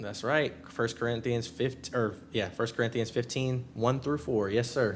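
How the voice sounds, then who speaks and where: A man speaks at a moderate pace with hardly any pauses. His pitch is medium. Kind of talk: live debate stream chat. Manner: loud; animated.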